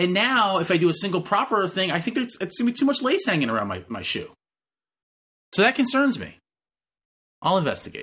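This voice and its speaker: A man with a high pitch and a bright, sharp tone speaks in a raised, projected voice at a fairly quick pace. He takes long, frequent pauses against a quiet background. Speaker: professor and podcast co-host. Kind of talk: casual chat.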